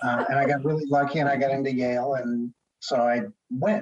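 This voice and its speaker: Here a man with an ordinary speaking voice and an American accent talks at a medium pitch with ordinary pitch variation. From US Northeast, Connecticut. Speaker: telecom lawyer. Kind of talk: interview.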